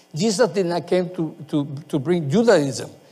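The man's voice is high-pitched, with lively intonation. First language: not English. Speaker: pastor. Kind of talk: sermon. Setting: church. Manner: halting.

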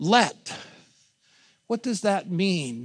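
A man with a Pittsburgh accent against a quiet background. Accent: Western Pennsylvania (Pittsburgh). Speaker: pastor. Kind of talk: sermon.

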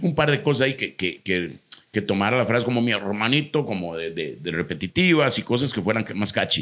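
A man at a medium pitch with a Costa Rican accent, a fairly quick pace and very wide pitch swings. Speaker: comedian. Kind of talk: casual chat.

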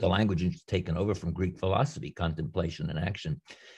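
A man with an American accent speaks in a somewhat breathy voice. The recording is very clean, with a silent background. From New York area, US. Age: 80s+. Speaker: theologian and retired professor. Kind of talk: interview. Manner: halting.

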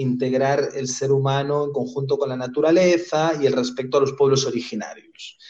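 This man has a fairly high pitch, an unremarkable speaking voice, and fairly even intonation. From Spain. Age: 30s. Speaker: human rights lawyer. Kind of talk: interview.

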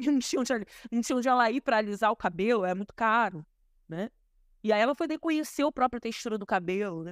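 Speaking at a very fast pace, a woman with a fairly high pitch and lively intonation comes through in a very clean, dry, close recording with no echo and a silent background. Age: 30s. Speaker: historian and activist. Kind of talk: interview.

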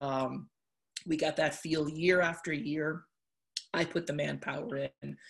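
A woman's very deep, low voice with an American accent and vocal fry, fairly even intonation, a fairly slow pace and long, frequent pauses, on a very clean recording with a silent background. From Connecticut, US. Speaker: college softball coach. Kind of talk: interview.

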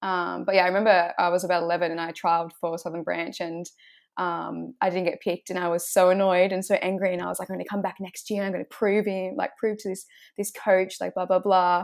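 In an Australian accent, the speaker moves at a fairly quick pace with monotone, flat intonation on a very clean recording with a silent background. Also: woman, medium pitch for a woman. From Shoalhaven, New South Wales, Australia. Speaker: footballer. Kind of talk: casual interview.

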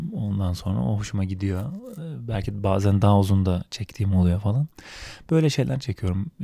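On a very clean recording with a silent background, a dark, mellow voice moves at a moderate pace with lively intonation. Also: man, fairly low pitch for a man. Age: 30s. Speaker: solo podcaster. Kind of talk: casual monologue. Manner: improvised, hesitant with fillers.

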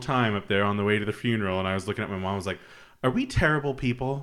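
This man has an unremarkable speaking voice and an American accent. His pitch is medium, with ordinary variation. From Utah. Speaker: podcast host. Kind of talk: casual chat.

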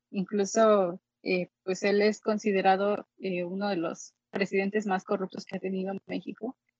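With an ordinary speaking voice, a woman talks at a medium pitch and a moderate speed. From Mexico, Xalapa, Veracruz. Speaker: pianist and musicologist. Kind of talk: interview.

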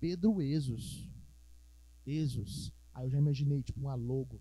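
In a dark, mellow tone, a man with a medium-pitched, somewhat breathy voice speaks at a fairly slow pace. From Minas Gerais, Brazil (Ribeirão das Neves). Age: 20s. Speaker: musician and physics teacher. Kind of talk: casual podcast chat.

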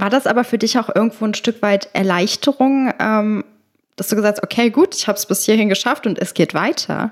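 A woman speaks in an ordinary speaking voice with fairly high pitch, the sound dry and close with no echo. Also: ordinary pitch variation, fairly quick pace. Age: 20s. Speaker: podcast host and show jumper. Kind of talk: casual interview.

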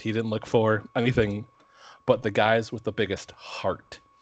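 This man speaks at a medium pitch with an Upper Midwest accent. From Minnesota. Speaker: podcast co-host. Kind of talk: casual chat.

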